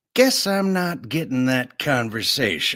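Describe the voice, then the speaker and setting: A man's put-on character voice, fairly high-pitched, at a fairly slow pace with very wide pitch swings. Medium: read story. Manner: brash, sardonic.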